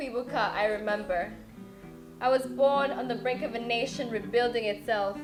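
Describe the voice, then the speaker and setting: With music in the background, a woman speaks at a moderate pace, her fairly high pitch held in fairly even intonation. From Rwanda. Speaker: spoken word poet. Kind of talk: spoken word poetry performance.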